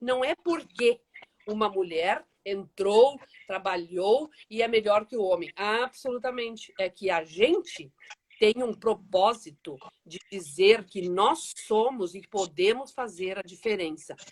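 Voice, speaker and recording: Moving at a very slow pace, a woman speaks with lively intonation and big swings in loudness. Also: medium pitch for a woman. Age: 60s. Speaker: social project founder. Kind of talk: live interview. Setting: Instagram live video call.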